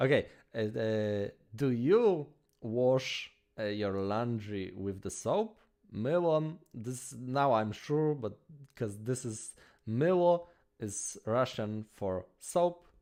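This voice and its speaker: Against a quiet background, a man with a Polish accent talks very slowly at a medium pitch in a dark, mellow tone. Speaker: language-learning streamer. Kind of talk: live stream language practice. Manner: halting, many fillers and restarts.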